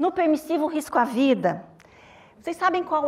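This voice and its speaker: A woman with a Minas Gerais accent at a moderate pace, lively intonation, and noticeable background noise. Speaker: doctor at a legal abortion service, panelist. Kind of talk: panel talk.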